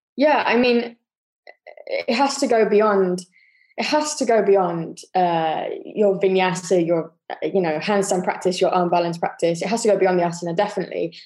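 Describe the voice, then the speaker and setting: A woman with a British accent speaks at a very even loudness, with ordinary pitch variation. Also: medium pitch for a woman, moderate pace. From UK. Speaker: yoga teacher. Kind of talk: casual interview chat.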